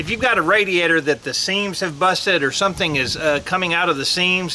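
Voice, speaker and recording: Over light background noise, a man speaks at a very fast pace in a raised, projected voice. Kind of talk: casual how-to vlog talk. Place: open country.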